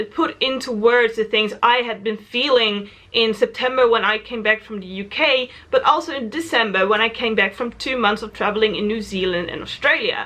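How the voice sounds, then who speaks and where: This woman has a fairly high pitch and speaks with a Dutch accent. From Netherlands. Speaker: travel vlogger. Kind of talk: casual vlog monologue.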